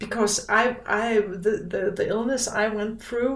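A woman's fairly high voice at a fairly slow pace. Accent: Danish. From Denmark. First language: Danish. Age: 50s. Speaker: podcast guest. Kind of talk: casual interview chat. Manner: halting, searching for words.

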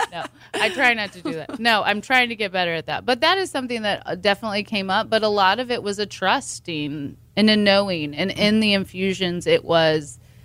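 A woman's medium-pitched, unremarkable speaking voice with lively intonation, on a very clean recording with a silent background. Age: 40s. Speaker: ketamine clinic owner and doctor. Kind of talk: interview.

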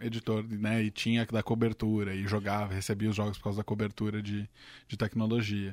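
A man talks at a fairly quick pace with a fairly low pitch. The recording is very clean, dry and close, with a silent background and no echo. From São Caetano do Sul, Greater São Paulo (ABC), Brazil. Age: 20s. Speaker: tech journalist. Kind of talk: casual chat.

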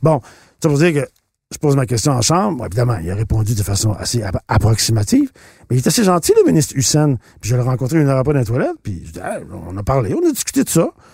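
At a very fast pace, a man with a dark, mellow, somewhat breathy tone and medium pitch makes very wide pitch swings in a dry, close sound with no echo. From Quebec, Shawinigan. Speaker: politician and actor. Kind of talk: interview. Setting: studio.

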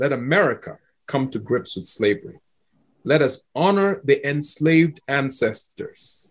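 Somewhat breathy, a man speaks at a fairly high pitch with lively intonation. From Ghana (Accra). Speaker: historian. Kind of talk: interview.

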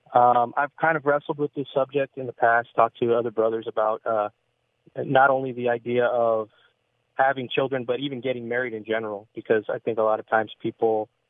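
Speaking at a fairly quick pace, a man uses a medium pitch in a monotone, flat delivery. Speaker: caller. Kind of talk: radio call-in. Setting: phone call. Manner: halting.

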